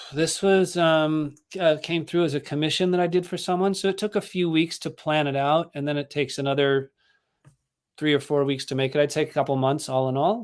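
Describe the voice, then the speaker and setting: With a Californian accent, a man speaks at a fairly quick pace. His pitch is fairly high and his intonation fairly even. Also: very clean recording, silent background. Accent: General American, Californian. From Los Angeles, San Fernando Valley. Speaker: artist and musician. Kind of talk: casual interview chat. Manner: halting.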